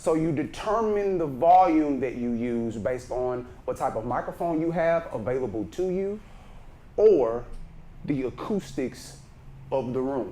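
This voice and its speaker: A man with a Texan accent, a fairly high pitch and a dark, mellow tone, at a fairly slow pace with lively intonation and audible room echo. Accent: Texas Southern. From Texas, Brenham. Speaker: speaking coach. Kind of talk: workshop lecture. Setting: conference room with microphone.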